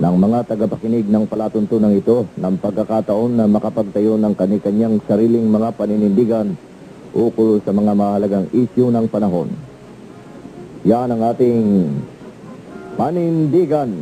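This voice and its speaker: A plain, everyday voice at a moderate pace. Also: man, fairly low pitch for a man, ordinary pitch variation. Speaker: radio announcer. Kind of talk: radio station sign-off and station ID.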